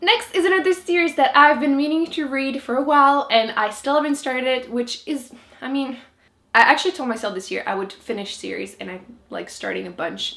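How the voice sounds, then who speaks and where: In a French Canadian accent, a woman speaks in a high, bright, sharp voice with very wide pitch swings and big swings in loudness. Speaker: book vlogger. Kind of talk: casual talk to camera.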